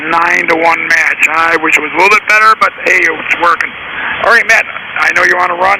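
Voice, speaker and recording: A man's speech is accompanied by noticeable background noise. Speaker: amateur radio operator. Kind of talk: ham radio contact.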